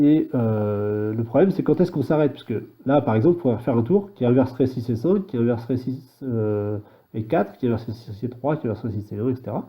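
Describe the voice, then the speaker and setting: A man speaks at a medium pitch and a fairly quick pace, with lively intonation and a dark, mellow tone. His voice is somewhat breathy, and the recording is very clean with a silent background. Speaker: programming tutorial maker. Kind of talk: tutorial. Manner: halting, thinking aloud; fast.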